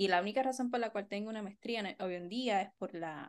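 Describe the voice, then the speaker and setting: A woman with an ordinary speaking voice, ordinary pitch variation and a moderate pace against a quiet background. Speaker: podcast co-host, art therapist and educator. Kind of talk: casual chat.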